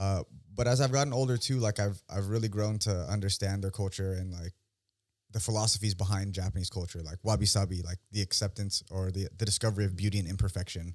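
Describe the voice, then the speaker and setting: A man with an American accent, fairly low pitch and fairly even intonation at a fairly quick pace, in a plain, everyday voice on a very clean recording with a silent background. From San Francisco Bay Area, California. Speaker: author and fighter. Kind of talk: casual chat.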